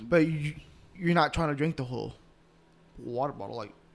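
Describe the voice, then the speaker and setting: In a normal speaking voice, a man with a fairly high pitch talks at a moderate pace, with big swings in loudness. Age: 20s. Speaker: podcast co-host and bodybuilder. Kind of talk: casual chat.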